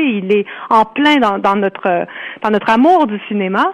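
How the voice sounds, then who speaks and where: In an ordinary speaking voice, a woman talks with a fairly high pitch and lively intonation. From Ontario, Canada. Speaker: author. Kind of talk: interview.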